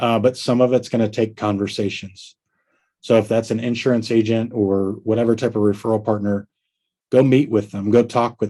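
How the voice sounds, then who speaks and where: An American-accented man speaks at medium pitch in a dark, mellow tone with a monotone, flat intonation. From Tennessee. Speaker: roofing business trainer. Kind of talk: business training talk. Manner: slow.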